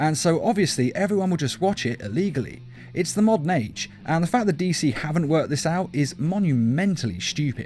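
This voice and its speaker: Over music in the background, a man with an English accent speaks at a fairly quick pace, with hardly any pauses and very even loudness. His fairly high voice has lively intonation. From England. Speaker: YouTube reviewer. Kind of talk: video review.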